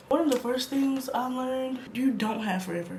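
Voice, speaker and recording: Noticeable background noise behind a woman talking with ordinary pitch variation. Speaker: lifestyle vlogger. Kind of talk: casual talk to camera.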